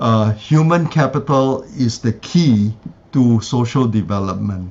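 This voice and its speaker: Somewhat breathy, a man's voice at a medium pitch moves with lively intonation. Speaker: conference speaker. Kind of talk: academic presentation and Q&A. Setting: symposium with live interpreter.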